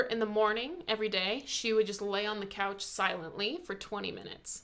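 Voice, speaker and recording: A woman talks with a fairly high pitch. Noticeable background noise runs beneath her voice. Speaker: YouTuber discussing personality types. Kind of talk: casual chat. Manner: fast.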